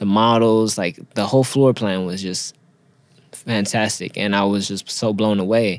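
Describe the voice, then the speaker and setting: A very clean recording with a silent background carries a voice with an American accent, fairly even intonation and a moderate pace. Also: man, fairly low pitch for a man. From Los Angeles (Inglewood), California. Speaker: fashion designer and artist. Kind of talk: casual interview.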